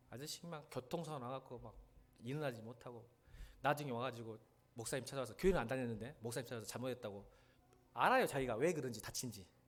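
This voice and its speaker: Speaking at a very fast pace, a man leaves long, frequent pauses, and his loudness swings widely. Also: medium pitch for a man, ordinary pitch variation. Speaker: pastor. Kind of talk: sermon. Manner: animated storytelling.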